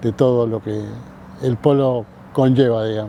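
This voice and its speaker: A man with a Rioplatense accent speaks at a very slow pace. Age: 60s. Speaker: veterinarian. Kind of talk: interview. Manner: halting, many fillers.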